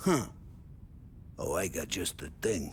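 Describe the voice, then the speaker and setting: Over clear background noise, a man puts on a loud, raspy character voice. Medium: video game. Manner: loud, jovial.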